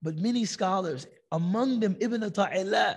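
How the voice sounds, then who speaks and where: Lively intonation marks this fairly slow delivery. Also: man. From United States. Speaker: Islamic teacher. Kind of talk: religious lecture; storytelling. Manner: animated.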